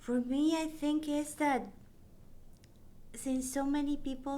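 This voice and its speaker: Dark, mellow tone from a woman at a fairly slow pace, with audible room echo. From Mexico. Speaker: parent support group co-founder. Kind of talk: interview conversation.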